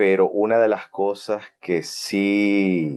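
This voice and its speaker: A man's very deep, low voice at a very slow pace. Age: 40s. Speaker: Bible teacher. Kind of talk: Bible study lecture. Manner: halting, many fillers.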